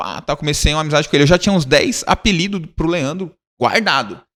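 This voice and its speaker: Animated and bright with a sharp tone, a man speaks at a high pitch with lively intonation. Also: very clean recording, silent background. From Brazil, São Paulo / Rio de Janeiro. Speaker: youth ministry leader. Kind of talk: casual interview chat. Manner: animated, slangy storytelling.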